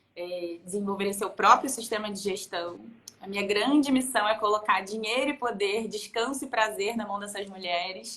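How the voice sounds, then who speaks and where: A woman's ordinary speaking voice at medium pitch with fairly even intonation. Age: 30s. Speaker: productivity consultant. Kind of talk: casual chat.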